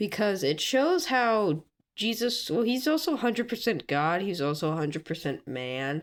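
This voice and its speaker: At a moderate pace, a woman with a medium pitch, vocal fry and very wide pitch swings is heard in a very clean recording with a silent background. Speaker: social media creator. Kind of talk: casual chat; reading aloud.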